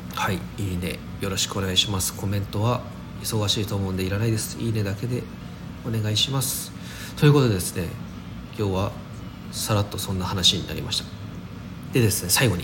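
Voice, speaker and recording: A man's fairly low voice at a fairly quick pace, broken by long, frequent pauses, with ordinary pitch variation, noticeable background noise and audible room echo. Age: 30s. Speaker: daily podcaster. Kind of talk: casual solo talk. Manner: casual, many fillers.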